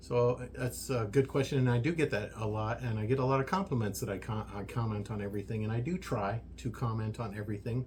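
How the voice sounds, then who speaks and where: The speech comes at a very fast pace with hardly any pauses. The voice is somewhat breathy, with ordinary pitch variation. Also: man, medium pitch for a man. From US, army brat raised partly in Germany. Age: 60s. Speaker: social media creator, workshop owner. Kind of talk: casual podcast interview. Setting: workshop. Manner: hesitant, many fillers.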